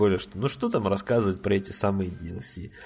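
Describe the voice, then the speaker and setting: Somewhat breathy, a man's voice sits at a fairly low pitch. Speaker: podcast host. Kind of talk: casual solo review monologue. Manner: many filler words; animated.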